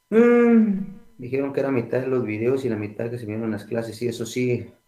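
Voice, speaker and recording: A soft-spoken man at medium pitch, moderate in pace with ordinary pitch variation, in audible room echo. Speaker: accounting lecturer. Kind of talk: online lecture. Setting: online class from home. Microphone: too quiet.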